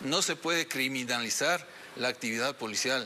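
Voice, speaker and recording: Light background noise sits under a man speaking with ordinary pitch variation. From Ecuador. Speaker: police general; interviewee. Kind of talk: TV interview. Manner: hesitant, many fillers. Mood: serious, firm. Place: studio.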